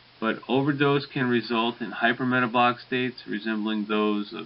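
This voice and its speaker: At a moderate pace, a man mumbles his words. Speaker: pharmacology lecturer. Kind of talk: recorded lecture. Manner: mumbling a little; hesitant, many fillers.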